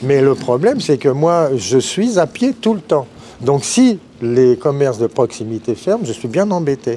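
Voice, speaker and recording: A man with a fairly high pitch and a dark, mellow tone talks at a fairly slow pace with very wide pitch swings. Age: 60s. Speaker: customer interviewed in street, retired guitar teacher. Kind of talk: vox pop interview.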